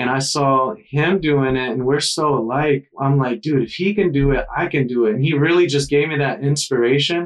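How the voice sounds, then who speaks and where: A man with a normal speaking voice talks at a moderate pace and fairly high pitch, using ordinary pitch variation and hardly any pauses. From US South, South Carolina coast. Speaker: surf instructor. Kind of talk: casual chat.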